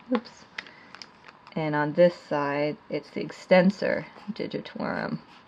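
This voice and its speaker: Her pace is very slow, broken by long, frequent pauses, and a woman's fairly low pitch comes through. Noticeable background noise is present. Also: lively intonation. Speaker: art teacher. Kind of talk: tutorial.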